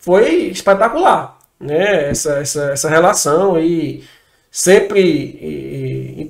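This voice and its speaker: The man speaks in a high pitch with ordinary pitch variation. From Ceará, Brazil (Fortaleza). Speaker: entrepreneur. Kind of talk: interview.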